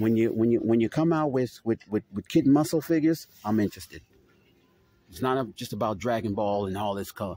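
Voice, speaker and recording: A man with a dark, mellow tone speaks at a fairly quick pace with lively intonation, the dry sound having no echo and light background noise. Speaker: toy channel host. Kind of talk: angry rant, profane store-aisle vlog rant. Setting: in a store, filming vlog. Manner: loud, furious, cursing, exasperated; repetitive, stammering, catchphrase-heavy. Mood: annoyed, ranting. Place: shop. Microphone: phone near.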